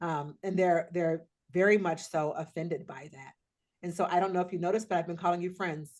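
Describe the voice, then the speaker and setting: In an ordinary speaking voice, a woman with an American accent talks at a fairly quick pace, her pitch fairly low and her intonation fairly even, with big swings in loudness. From US Pacific Northwest. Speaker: diversity trainer. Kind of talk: workshop training. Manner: conversational.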